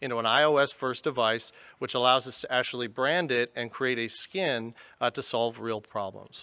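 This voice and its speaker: In a quiet setting, a man speaks loudly and fairly quickly with a bright, sharp tone at a medium pitch. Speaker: tech company executive. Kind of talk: conference presentation. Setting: stage with audience.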